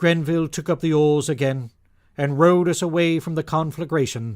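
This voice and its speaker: A man's fairly high voice at a moderate pace, on a very clean recording with a silent background. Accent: British. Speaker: audiobook narrator. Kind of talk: audiobook narration.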